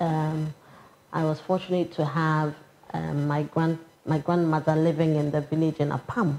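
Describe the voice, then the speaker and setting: A woman speaks at a moderate pace with a Ghanaian accent, her very deep, low voice dark and mellow in tone and her intonation flat and monotone. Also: very even loudness. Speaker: public official. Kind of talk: interview. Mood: calm, warm, smiling. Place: office.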